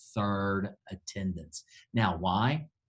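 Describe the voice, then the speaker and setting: With ordinary pitch variation, a man's voice comes across somewhat breathy. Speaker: church planting director. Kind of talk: training talk. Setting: district office recording. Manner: fast.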